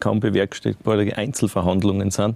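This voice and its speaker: A man speaks at a moderate pace in a fairly low voice, his tone dark and mellow, and the sound is dry and close with no echo. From Styria, Austria. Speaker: mountain bike officer of alpine club. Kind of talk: casual chat.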